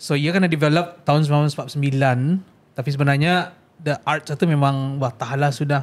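A man talks at a very fast pace in a fairly high pitch, his intonation monotone and flat. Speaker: podcast host. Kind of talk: casual podcast conversation. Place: studio. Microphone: studio mic.

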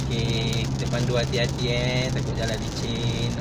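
A man talks at a fairly slow pace while loud background noise fills the clip. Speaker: driver vlogger. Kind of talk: casual vlog chat. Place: car. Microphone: phone near.

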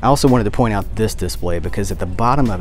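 Dry sound with no echo and faint music in the background. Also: man. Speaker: collector vlogger. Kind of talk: casual vlog chat. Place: shop. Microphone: phone near.

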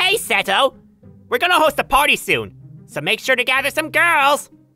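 A female-sounding voice performs a put-on character voice with faint music in the background. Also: moderate pace. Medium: dub. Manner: mocking.

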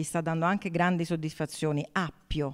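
A woman is speaking. The background is quiet. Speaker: food and wine show host. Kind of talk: casual talk to camera. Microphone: handheld.

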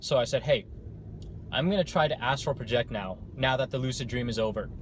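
A man's somewhat breathy voice moves at a fairly quick pace with ordinary pitch variation, dry with no echo, over light background noise. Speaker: vlogger. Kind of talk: casual vlog chat. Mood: calm, reflective storytelling. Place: car. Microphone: phone near.

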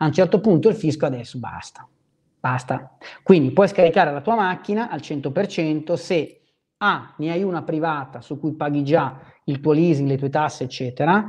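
Against a quiet background, a man speaks at a fairly high pitch. His pace is moderate and his pitch variation ordinary. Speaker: trading educator. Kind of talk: live stream talk. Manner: animated. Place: home room. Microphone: lapel.

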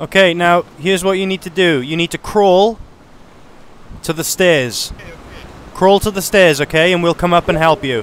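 In a dry recording with no echo, a man with a high voice and ordinary pitch variation talks at a moderate pace, with long, frequent pauses. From United Kingdom. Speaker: gaming video creator. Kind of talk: gameplay narration with roleplay. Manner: casual. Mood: cautious, calming, commanding.

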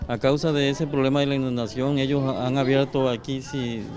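Over noticeable background noise, a man speaks at a fairly quick pace in a monotone, flat intonation. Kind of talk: interview answer. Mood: complaining, earnest. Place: street. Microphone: handheld.

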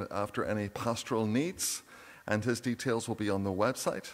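The man's voice sits fairly low in pitch, and he talks at a moderate pace. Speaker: minister giving notices. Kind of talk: church announcements. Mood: warm, jovial. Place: church. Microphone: podium.

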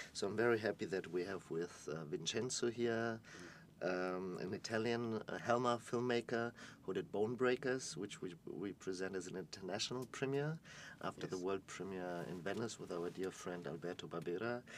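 Over light background noise, a man with a fairly low pitch and ordinary pitch variation speaks at a fairly quick pace. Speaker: festival interviewer and curator. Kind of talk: interview. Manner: animated. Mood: warm, cheerful. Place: studio.

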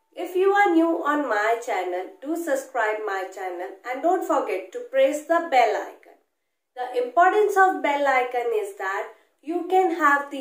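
A woman with a high voice speaks at a fairly slow pace. The background is quiet, but room echo is audible. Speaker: medical educator. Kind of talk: lecture. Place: home room.

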